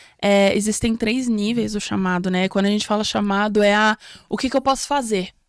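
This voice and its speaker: Talking at a fairly quick pace, a woman with a slight non-native accent has a medium pitch and fairly even intonation. Her loudness stays very even in a very clean recording with a silent background. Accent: slight foreign accent in Portuguese. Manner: hesitant, many fillers.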